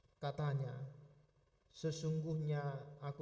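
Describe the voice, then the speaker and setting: In a room with audible echo, a man speaks fairly slowly with a fairly high pitch and a dark, mellow tone. His voice is somewhat breathy, and his intonation stays fairly even. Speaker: pastor. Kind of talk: sermon; scripture reading. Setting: church service, live streamed.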